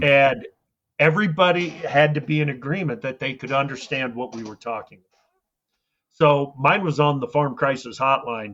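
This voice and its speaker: Big swings in loudness mark this man's speech. He has a fairly high pitch and a Midwestern American accent. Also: ordinary pitch variation, moderate pace. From rural Iowa. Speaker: agricultural radio host. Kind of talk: interview answer.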